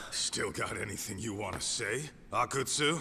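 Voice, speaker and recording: A man puts on a raspy character voice at a medium pitch, talking at a moderate pace over light background noise. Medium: video game. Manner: blunt, rough-edged.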